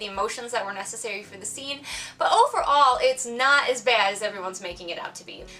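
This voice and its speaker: A woman's voice, high in pitch, is raised and projected. Background noise is noticeable. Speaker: author and gamer. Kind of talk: casual video game review to camera. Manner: fast.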